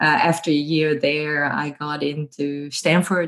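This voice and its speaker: A woman with a Dutch accent speaks at a moderate pace over a quiet background. Her pitch is very deep and low, with monotone, flat intonation. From Netherlands. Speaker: professor. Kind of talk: interview. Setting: remote call. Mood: warm, cheerful. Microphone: earbuds.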